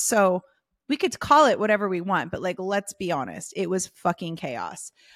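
In a very clean recording with a silent background and a dry, close sound with no echo, a woman with a normal speaking voice and an American accent talks at a moderate pace, her medium pitch carried by lively intonation. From US, Southern California. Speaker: business coach. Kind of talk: casual interview chat.

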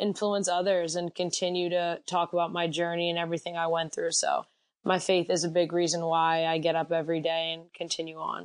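Against a quiet background, a woman talks at a fairly quick pace in an American accent. Her pitch is fairly low and her intonation is monotone and flat. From US Northeast, Reading, Pennsylvania. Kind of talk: interview. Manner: loud.

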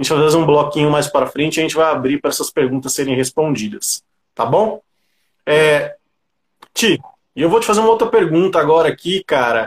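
Long, frequent pauses break up a man's fairly quick speech. His intonation is lively, and the sound is dry and close with no echo. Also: fairly high pitch for a man. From São Paulo, Grajaú (south zone). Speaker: livestream host. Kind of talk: casual interview on a livestream.

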